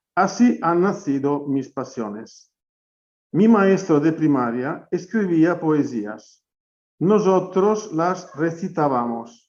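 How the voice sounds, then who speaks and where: Very slow speech in an Italian accent with lively intonation. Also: man, high pitch for a man. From Italy, Romagna. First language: Italian (speaking Spanish). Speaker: poet, author. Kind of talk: book presentation.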